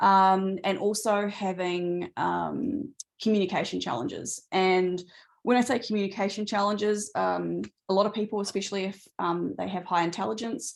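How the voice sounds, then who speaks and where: A woman with an Australian accent speaks at a medium pitch against a quiet background. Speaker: neurodivergent coach. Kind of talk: webinar Q&A. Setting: video call webinar.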